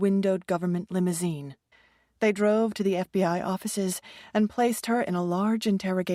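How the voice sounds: A natural reading voice with fairly even intonation and a quiet background.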